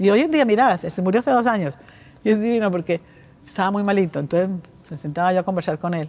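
A woman talks at a very fast pace with lively intonation. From Colombia. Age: 70s. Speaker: bank founder; interview guest. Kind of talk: interview. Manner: halting. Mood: reflective, candid. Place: hall.

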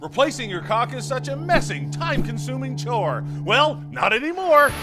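Noticeable background noise around a moderately paced man's voice. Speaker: announcer / voice-over narrator. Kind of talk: TV commercial voice-over.

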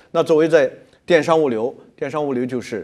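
A man talks fairly quickly while the background stays quiet. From mainland China. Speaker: logistics company executive; guest. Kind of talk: interview. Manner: halting with many fillers. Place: studio. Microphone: lapel.

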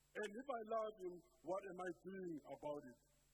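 Light background noise sits behind a man speaking with lively intonation. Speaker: preacher. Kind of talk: sermon. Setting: church. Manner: earnest, rhetorical preaching, pressing questions and commands to the congregation. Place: church. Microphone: handheld.

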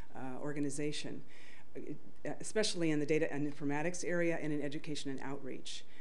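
A woman speaks at a fairly quick pace with a very deep, low pitch. Her intonation stays fairly even, and there is light background noise. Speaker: conference presenter. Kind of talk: conference talk. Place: hall.

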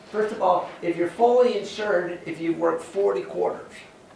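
Over light background noise and audible room echo, a man with an American accent talks at a moderate pace. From California (San Joaquin Valley). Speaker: university professor. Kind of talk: lecture. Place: classroom.

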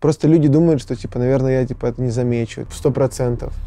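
Over a quiet background, a man with a Serbian accent speaks in a dark, mellow tone with fairly even intonation, the sound dry with no echo. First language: Serbian (speaking Russian). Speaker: rock band singer-songwriter; interviewee. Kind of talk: interview. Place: studio. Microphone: lapel.

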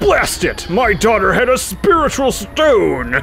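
With clear music in the background, a man puts on a gruff, high-pitched character voice and speaks at a fairly slow pace. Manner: distressed.

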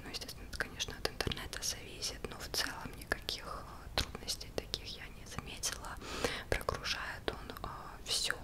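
The woman speaks at a moderate pace. Loud background noise surrounds her. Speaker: product reviewer. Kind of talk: soft-spoken product review. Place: home room. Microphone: studio mic.

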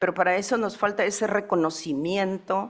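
A woman at a medium pitch with ordinary pitch variation, over a quiet background. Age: 70s. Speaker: community leader; panelist. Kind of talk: conference talk. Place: hall. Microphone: podium.

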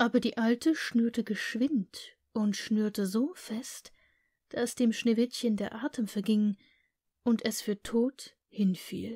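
The voice has a calm tone and a very slow pace. The recording is very clean, with a silent background. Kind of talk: scripted fairy tale narration, read aloud. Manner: storytelling tone, calm and expressive.

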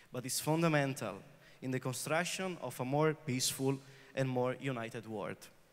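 A man speaks with an Italian accent. His voice is fairly high-pitched. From northern Italy, Vicenza; northern Italy. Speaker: peace activist; speaker. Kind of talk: prepared speech. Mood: earnest, serious. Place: hall. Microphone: handheld.

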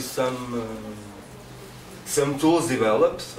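The speech shows ordinary pitch variation. There is audible room echo and light background noise. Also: man. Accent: Portuguese. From Portugal. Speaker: conference presenter. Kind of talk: informal spoken presentation in non-native English. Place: meeting room. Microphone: podium.

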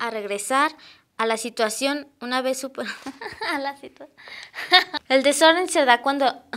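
Speaking in a Mexican accent, a woman with a high pitch talks at a fairly slow pace, with ordinary pitch variation, big swings in loudness, and long, frequent pauses. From Mexico. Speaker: student presenter; presenter. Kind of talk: reading aloud. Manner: halting. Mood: giggly, stumbling over words. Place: studio. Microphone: lapel.

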